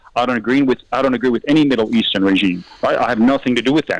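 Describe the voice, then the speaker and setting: At a very fast pace, a man talks with an Australian accent in a dry, close sound with no echo. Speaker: mayor. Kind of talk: heated debate.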